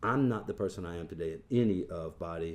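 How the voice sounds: Speaking fast, a man uses a low pitch and a slightly mellow tone with ordinary pitch variation.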